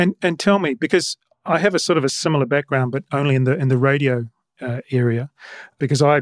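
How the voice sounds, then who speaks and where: A man speaks at a fairly quick pace in a New Zealand accent, with a medium pitch. The recording is very clean, with a silent background. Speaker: podcast host. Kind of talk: podcast monologue and interview.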